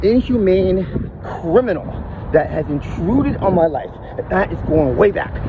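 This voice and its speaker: Speaking at a moderate pace, a man with a high pitch uses lively intonation against noticeable background noise. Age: 50s. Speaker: podcaster. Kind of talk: personal testimony monologue. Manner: mumbling; halting, repeating words.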